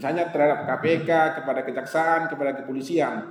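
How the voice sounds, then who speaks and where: A man with a North Sumatran accent is heard amid noticeable background noise and audible room echo. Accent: Batak-flavoured accent even in Javanese. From Sumatra, Indonesia. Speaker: judge giving a legal training talk. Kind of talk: lecture. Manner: conversational, mixing in Javanese asides.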